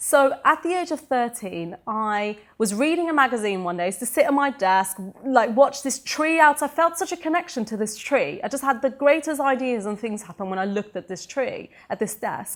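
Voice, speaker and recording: With a British accent, a woman speaks at a moderate pace in a high pitch that swings very widely. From Sweden, then England from age 13. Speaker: entrepreneur and motivational speaker. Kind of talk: interview.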